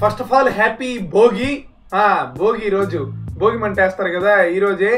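A man talks in a high pitch. Faint music plays in the background. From Andhra Pradesh, India. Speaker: YouTuber, gamer. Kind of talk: casual gameplay commentary. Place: home room. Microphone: webcam.

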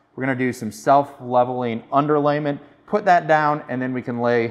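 Ordinary pitch variation and a moderate pace mark this man's speech. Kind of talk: tutorial. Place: bathroom.

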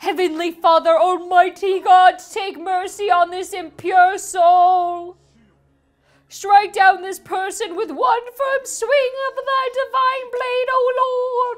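Speaking very slowly, a woman uses a put-on character voice with an extremely high pitch. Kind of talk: mock sermon voice. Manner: zealous, preaching.

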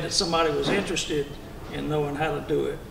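A man's fairly high voice with a Southern Louisiana accent, over noticeable background noise. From Louisiana, Denham Springs. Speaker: boat builder; panelist. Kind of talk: panel talk. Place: meeting room. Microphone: handheld.

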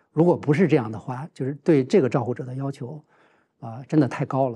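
A man's fairly high-pitched, somewhat breathy voice with a dark, mellow tone. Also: quiet background. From China, Heilongjiang. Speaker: journalism professor and family caregiver; talk show guest. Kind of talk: casual chat. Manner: halting. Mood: calm, reflective. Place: studio. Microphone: lapel.

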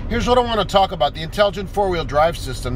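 A man speaks in a high pitch over noticeable background noise, the sound dry with no echo. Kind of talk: casual explanatory vlog. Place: car.

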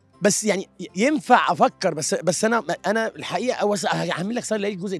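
Faint music plays in the background as a man talks with lively intonation. The sound is dry with no echo. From Egypt. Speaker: screenwriter. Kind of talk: interview answer. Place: hall. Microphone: handheld.

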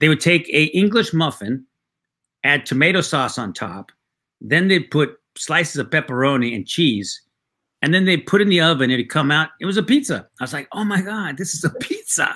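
A man with a fairly high pitch speaks at a moderate pace over a quiet background. His tone is bright and sharp, with vocal fry and lively intonation. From Mexican-American background. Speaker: writer, actor and comedian. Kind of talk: casual interview. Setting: video call. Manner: halting, repeated false starts. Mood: warm, reminiscing. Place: home room.

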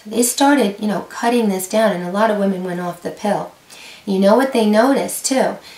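In a room with audible echo, a woman with a fairly high pitch speaks fairly quickly, her pitch varying in an ordinary way and her loudness swinging widely. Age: 50s. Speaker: YouTube creator on women's health; health educator vlogger. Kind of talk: informational talk to camera. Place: home room.

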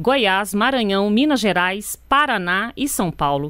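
With an ordinary speaking voice, a woman talks at a fairly slow pace, her fairly high pitch carrying lively intonation over a very clean recording with a silent background. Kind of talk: news reading. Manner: formal, steady, neutral newsreader delivery; brisk, even pacing, sober tone.

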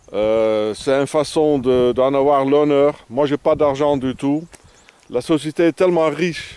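This man speaks at a very slow pace with a non-native accent. His pitch is fairly high. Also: ordinary pitch variation, dry sound with no echo. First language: not French (speaking French). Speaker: vagabond vlogger. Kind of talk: outdoor video diary. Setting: outdoors. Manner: halting. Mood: grumbling, opinionated. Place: open country. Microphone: phone near.

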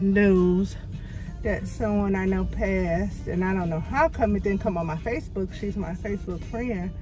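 Clear music plays in the background of a dry recording with no echo. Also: woman, moderate pace. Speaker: vlogger. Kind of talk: casual vlog chat. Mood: somewhat shaken, subdued. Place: car. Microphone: phone near.

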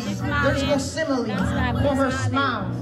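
Loud background noise runs beneath this clip. A man speaks at a fairly slow pace. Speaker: spoken word poet. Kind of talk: spoken word poetry performance at a wedding.

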